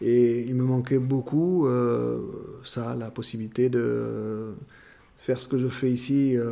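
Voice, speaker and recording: His intonation remains fairly even. This man's voice rests at a medium pitch. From Béarn, southwest France. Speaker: podcast interviewee. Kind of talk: testimony. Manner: halting, many fillers.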